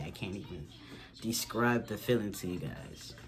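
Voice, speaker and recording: Music plays in the background amid audible room echo. A man speaks at a moderate pace with ordinary pitch variation. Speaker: vlogger. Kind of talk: casual Q&A vlog. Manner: casual, halting with restarts.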